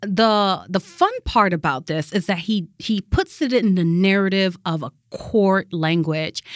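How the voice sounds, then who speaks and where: This woman has an unremarkable speaking voice, medium in pitch with ordinary pitch variation. She speaks at a fairly slow pace. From Haiti, raised in Connecticut from age six. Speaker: church justice ministries director. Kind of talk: casual chat.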